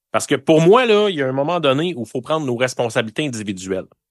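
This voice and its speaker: Over a quiet background, a man speaks in a normal speaking voice, fairly high in pitch, with lively intonation. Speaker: political commentator. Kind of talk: heated debate.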